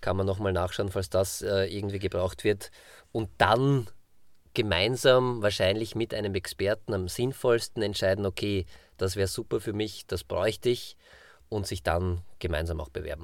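A man with an ordinary speaking voice and fairly low pitch speaks at a moderate pace with fairly even intonation, in a very clean recording with a silent background. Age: 40s. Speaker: podcast co-host. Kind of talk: casual chat.

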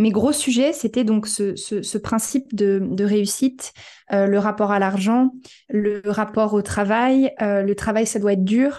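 A woman with a dark, mellow tone, fairly high in pitch, fairly even intonation, at a very slow pace. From France. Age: 30s. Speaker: human design coach, former restaurant operations director. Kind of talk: casual interview.

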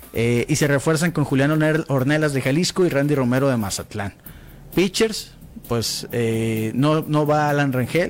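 A man with a plain, everyday voice speaks at a fairly slow pace and a fairly high pitch, with ordinary pitch variation and very even loudness. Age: 40s. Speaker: sports radio host. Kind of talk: casual chat. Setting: studio.

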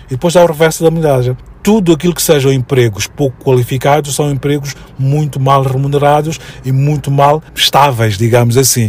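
Speaking at a fairly quick pace, a man with a fairly high pitch sounds somewhat breathy and uses ordinary pitch variation. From Mozambique (Maputo, Mafalala). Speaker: educator and commentator. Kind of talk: radio interview.

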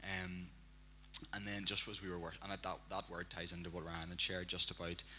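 This voice has a Northern Irish accent, a bright, sharp tone, vocal fry, and a flat monotone at a moderate pace. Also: man. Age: young. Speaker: church member. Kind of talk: prophetic word.

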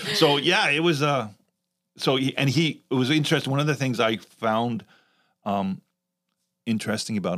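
Here is a man with a Canadian accent and a plain, everyday voice. He talks at a moderate pace with lively intonation, recorded very cleanly against a silent background. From Canada. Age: 60s. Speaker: youth ministry director. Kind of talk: casual chat.

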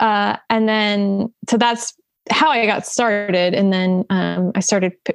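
In a dry, close sound with no echo and a quiet background, a woman with a South Jersey accent speaks at a medium pitch with fairly even intonation. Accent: South Jersey American. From US, southern New Jersey (Salem County). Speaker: painter. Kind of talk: casual chat.

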